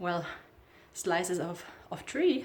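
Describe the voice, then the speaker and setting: This woman's voice sits fairly low in pitch, and she talks very slowly. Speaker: snake keeper. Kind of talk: casual talk to camera.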